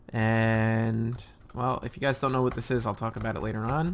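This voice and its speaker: This man's voice sits at a medium pitch. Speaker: gaming video creator. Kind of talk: gameplay commentary. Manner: fast; halting with many fillers.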